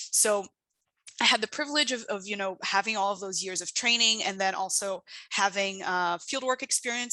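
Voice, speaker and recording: A woman speaks with a Portuguese accent at a moderate pace and a medium pitch. Her tone is bright and sharp. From Brazil. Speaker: international development researcher. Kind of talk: invited talk. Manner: hesitant, many fillers.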